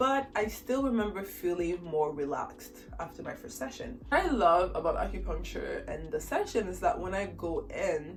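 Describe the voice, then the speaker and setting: Music plays in the background as a woman speaks at a moderate pace with hardly any pauses. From Haiti. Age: 20s. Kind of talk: casual talk to camera.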